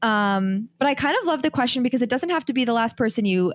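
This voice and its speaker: Recorded very cleanly against a silent background, a woman with an American accent and an ordinary speaking voice talks at a fairly quick pace with lively intonation. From New York City. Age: 20s. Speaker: podcast co-host guest. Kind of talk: casual podcast interview.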